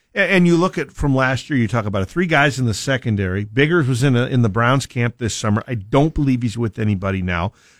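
A man's ordinary speaking voice at medium pitch, fairly quick with hardly any pauses and lively intonation, dry and close with no echo on a very clean recording with a silent background. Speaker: sports play-by-play announcer. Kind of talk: radio sports analysis chat.

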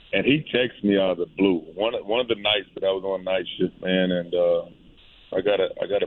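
A man with a plain, everyday voice and an American accent talks at a fairly quick pace, with a fairly low pitch and fairly even intonation. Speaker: high school football coach. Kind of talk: radio interview.

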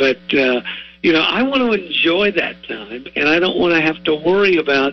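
Speaking with an American accent, a man keeps a moderate pace and ordinary pitch variation. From southwest Ohio (Warren County). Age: 60s. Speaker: retired TV sportscaster. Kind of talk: radio interview.

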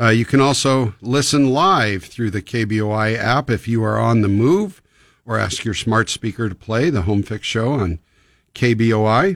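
A man with an ordinary speaking voice talks at a fairly slow pace. His pitch sits in the middle range with ordinary variation. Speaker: radio host. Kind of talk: live radio call-in advice show. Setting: radio studio. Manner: friendly, conversational.

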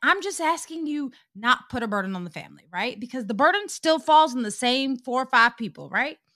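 In a very clean recording with a silent background, a woman uses a raised, projected voice at a high pitch, with very wide pitch swings and a bright, sharp tone. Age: 40s. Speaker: podcast co-host. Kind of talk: casual chat.

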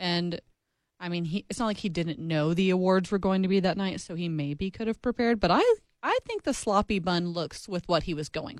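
A woman with an unremarkable speaking voice talks at a fairly quick pace, medium pitch and ordinary pitch variation. The recording is very clean with a silent background and a dry, close sound with no echo. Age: 20s. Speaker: sports podcast co-host. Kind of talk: casual chat.

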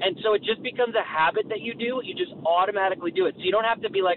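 Loud and very fast, a man talks over noticeable background noise. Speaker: radio host. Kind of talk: casual chat.

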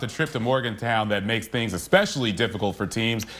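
Energetic in tone, a man speaks at a very fast pace. Noticeable background noise runs underneath. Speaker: sports anchor. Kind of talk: sports highlights narration. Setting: TV studio. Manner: punchy, energetic highlight calls.

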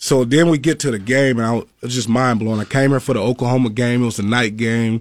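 A man speaks with a Southern US accent. His pitch is medium and his pace is moderate. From Mississippi. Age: 30s. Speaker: professional football player, former college lineman. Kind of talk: interview. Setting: studio.

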